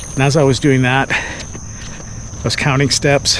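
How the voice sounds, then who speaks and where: Noticeable background noise behind a man's very slow speech. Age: 60s. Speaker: amateur runner. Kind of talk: casual talk to camera. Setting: outdoors.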